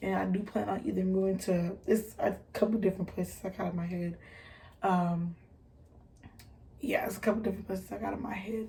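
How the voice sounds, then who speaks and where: A woman's somewhat breathy voice with a dark, mellow tone, an American accent, a fairly quick pace and ordinary pitch variation. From US Midwest, Detroit. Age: 20s. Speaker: vlogger. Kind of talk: casual chat. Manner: halting, many fillers.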